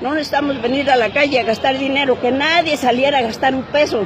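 Over crowd noise in the background, a high-pitched woman talks at a moderate pace, and the sound is dry with no echo. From Mexico, provincial. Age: 80s+. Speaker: elderly citizen venting at government. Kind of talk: street interview answer. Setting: outdoors. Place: street. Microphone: phone near.

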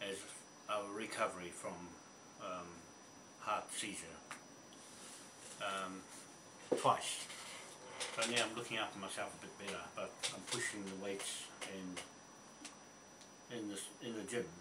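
Over loud background noise, a man speaks at a fairly slow pace, leaving long, frequent pauses. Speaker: gym-going retiree. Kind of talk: casual talk to camera. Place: home room. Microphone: webcam.

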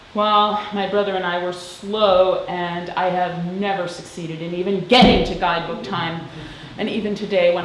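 At a moderate pace, a woman speaks amid light background noise, with audible room echo. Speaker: interviewee. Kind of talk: interview answer. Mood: relaxed, reminiscing, wry.

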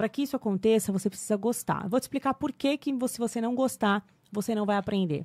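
With a fairly high pitch and ordinary pitch variation, a woman talks at a very fast pace. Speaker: English teacher. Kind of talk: casual interview chat. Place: studio. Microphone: studio mic.

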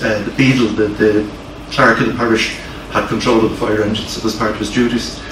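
Speech from a man, with noticeable background noise and audible room echo. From Ireland, Dublin. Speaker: fire service historian giving a lecture. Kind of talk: lecture. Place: meeting room. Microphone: camera far.

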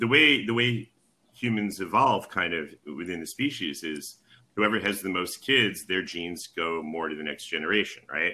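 In an American accent, a man with a very deep, low pitch talks at a moderate pace. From United States. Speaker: genetics professor. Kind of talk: interview conversation. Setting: call.

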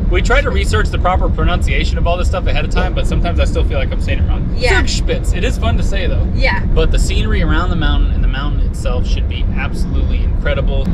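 The speech runs at a very fast pace with hardly any pauses. Loud background noise fills the clip. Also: man. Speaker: travel vlogger. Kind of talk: casual vlog chat. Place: car. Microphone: phone near.

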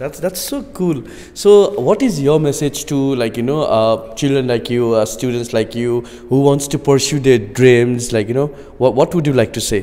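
A man speaks with a Nepali accent and ordinary pitch variation. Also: moderate pace. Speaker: news reporter. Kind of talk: interview. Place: classroom. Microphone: handheld.

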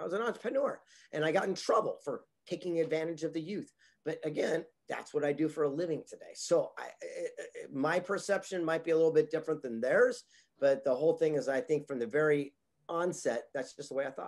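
A man talks at a fairly quick pace, his loudness swinging widely. The background is quiet. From Southern California. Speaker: motivational speaker and author. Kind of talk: interview. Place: home room. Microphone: webcam.

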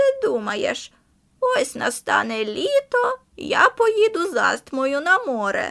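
In a put-on character voice, a woman speaks at a fairly slow pace with an extremely high, creaky pitch. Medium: read story. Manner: blunt, knowing.

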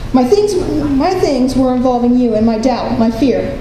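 At a moderate pace, a woman with a high pitch talks amid light background noise and audible room echo. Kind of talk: spoken word poetry reading. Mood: hurt, bitter, reflective. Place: hall. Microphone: handheld.

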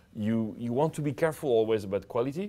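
A man speaks with a French accent at a medium pitch. His pace is fairly quick. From France. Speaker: entrepreneur and social media advice host; social media advice host. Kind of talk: tutorial. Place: studio. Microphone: lapel.

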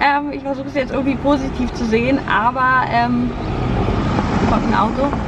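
A woman talks at a fairly slow pace. The sound is dry with no echo, though there is noticeable background noise. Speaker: vlogger. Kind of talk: casual vlog chat. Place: car.

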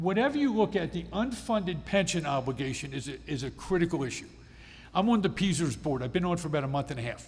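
This man talks very fast in an American accent, his fairly high voice touched with vocal fry. Room echo is audible. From Pennsylvania, Adams County. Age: 60s. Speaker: state legislator. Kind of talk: town hall presentation. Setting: public meeting with audience.

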